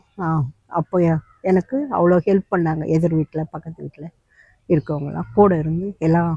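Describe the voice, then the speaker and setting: With a dark, mellow tone and fairly low pitch, a woman speaks with fairly even intonation. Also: dry, close sound with no echo. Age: 70s. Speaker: vlogger. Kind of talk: personal testimony. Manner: halting.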